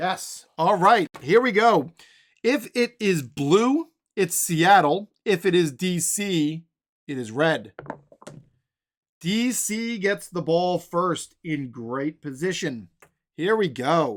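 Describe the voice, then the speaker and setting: A loud man with high pitch and lively intonation, at a very slow pace with long, frequent pauses. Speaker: tabletop sports game streamer. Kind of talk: tabletop game play-by-play. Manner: casual thinking aloud.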